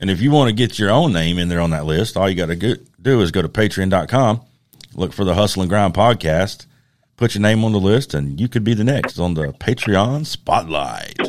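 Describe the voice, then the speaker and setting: A man's lively intonation rises and falls as he talks at a moderate pace. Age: 30s. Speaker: podcast co-host and knife maker. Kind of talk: casual chat.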